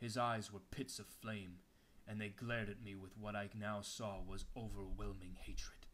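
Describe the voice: Just plain reading aloud.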